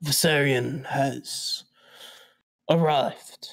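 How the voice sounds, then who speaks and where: A man's raspy, put-on character voice, fairly high in pitch, with fairly even intonation. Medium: actual play. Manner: brisk, authoritative.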